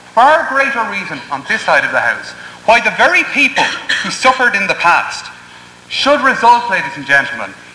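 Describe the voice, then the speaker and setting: With an Irish accent, a man talks at a fairly quick pace in an extremely high pitch with very wide pitch swings, against noticeable background noise. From Ireland. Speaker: university debater. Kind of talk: competitive debate speech. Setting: parliament chamber with audience. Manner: formal.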